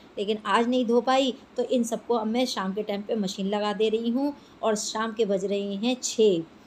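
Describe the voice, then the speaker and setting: Moderately paced speech from a woman, fairly high in pitch, her intonation fairly even. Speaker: homemaker vlogger. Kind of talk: casual vlog narration. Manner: chatty.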